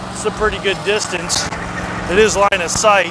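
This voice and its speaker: A man projects a raised voice at a moderate pace. Audible room echo and noticeable background noise surround him. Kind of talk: casual vlog talk. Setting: outdoors on a riding lawnmower.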